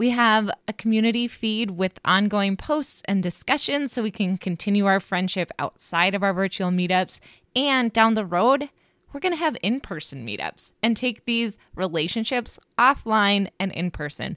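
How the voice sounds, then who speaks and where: A plain, everyday voice from a woman, medium in pitch with lively intonation and a moderate pace, the sound dry and close with no echo, on a very clean recording with a silent background. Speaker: podcast host and life coach. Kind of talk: interview. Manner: upbeat.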